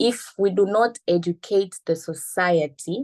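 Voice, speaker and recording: Very slowly, a woman speaks with a dark, mellow tone and ordinary pitch variation, in a dry, close sound with no echo. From Tanzania. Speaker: telecom sector representative, panelist. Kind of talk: webinar panel talk. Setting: online call while on the move, camera off. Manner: hesitant, many fillers.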